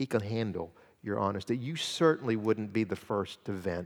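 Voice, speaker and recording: A man speaks at a moderate pace with fairly low pitch and lively intonation. He has an ordinary speaking voice. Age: 50s. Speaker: guest preacher. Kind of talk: sermon. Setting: church.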